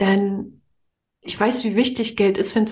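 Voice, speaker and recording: The woman's voice is somewhat breathy. She talks fairly slowly. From Mecklenburg-Vorpommern, eastern Germany. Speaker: spiritual money coach. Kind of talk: podcast interview.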